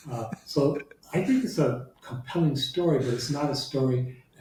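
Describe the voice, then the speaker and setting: Somewhat breathy and dark, mellow in tone, a man speaks with an American accent at a medium pitch and a fairly slow pace. His pitch variation is ordinary, and room echo is audible. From US Midwest, Detroit. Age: 70s. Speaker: law professor. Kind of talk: interview conversation.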